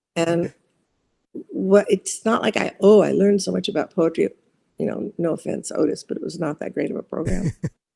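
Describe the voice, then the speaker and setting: Someone with a Californian accent talks at a fairly quick pace. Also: woman. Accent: Californian American English. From US West Coast, Orange County, California. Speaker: poet and psychology professor. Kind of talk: interview. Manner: halting.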